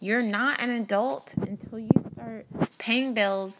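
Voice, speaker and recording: The background stays quiet. A woman talks very slowly. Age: young. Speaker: first-time podcaster. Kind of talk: personal monologue. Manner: hesitant, many fillers.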